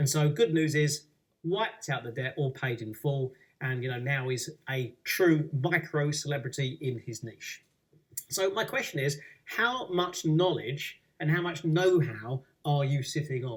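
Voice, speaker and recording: A man's somewhat breathy, fairly high-pitched voice at a fairly slow pace, with ordinary pitch variation. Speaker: public speaking coach. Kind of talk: webinar presentation. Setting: webinar. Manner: passionate.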